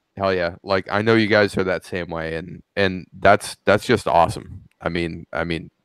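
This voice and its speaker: A man's very deep, low voice with fairly even intonation and hardly any pauses, in a dry, close sound with no echo. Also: moderate pace. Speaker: FPV drone pilot. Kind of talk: casual chat. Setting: video call. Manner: halting.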